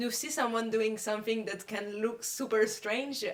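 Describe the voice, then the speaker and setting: A woman's fairly high voice at a fairly slow pace, with fairly even intonation amid noticeable background noise. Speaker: community radio founder. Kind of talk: casual interview chat.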